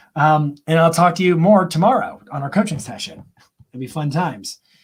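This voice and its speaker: Lively intonation marks this man's speech. His pitch is fairly high. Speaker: marketing coach and live stream host. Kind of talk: live Q&A stream. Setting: live online broadcast. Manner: fast; animated.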